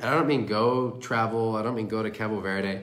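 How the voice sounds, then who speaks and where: A fairly slow-paced man, his pitch varying in an ordinary way. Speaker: windsurfing coach. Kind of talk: live coaching commentary. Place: home room. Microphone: phone near.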